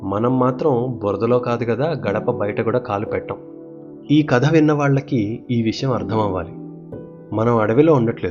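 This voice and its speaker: A man talks in a calm tone with ordinary pitch variation. Music plays in the background. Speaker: storyteller. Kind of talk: children's bedtime story. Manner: calm, clear.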